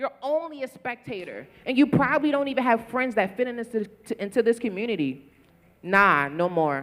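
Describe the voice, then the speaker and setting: The voice carries a Baltimore accent at a fairly quick pace. Its tone is passionate and animated. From Baltimore, US. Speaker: photographer. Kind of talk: panel discussion. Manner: passionate, animated.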